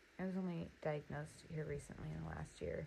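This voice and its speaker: This voice is soft-spoken, with an American accent. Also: woman. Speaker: notebook designer and small business owner. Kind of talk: casual crafting demo. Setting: home studio. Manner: soft-spoken, keeping voice down.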